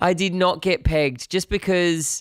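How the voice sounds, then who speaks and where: A man with an Australian accent, very slow in pace, in a dry, close sound with no echo. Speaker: musician streamer. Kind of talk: casual live stream chat. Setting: live stream.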